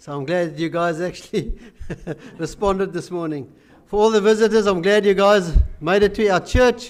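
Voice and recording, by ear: This man's voice sits high in pitch. His pitch varies in an ordinary way. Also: moderate pace.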